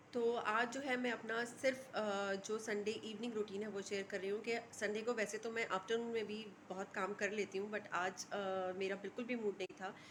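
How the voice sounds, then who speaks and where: A woman talks at a moderate pace in a fairly high, monotone voice with flat intonation. Noticeable background noise runs underneath. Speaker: lifestyle vlogger. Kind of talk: casual vlog talk to camera. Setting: at home in kitchen. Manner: hesitant, many fillers.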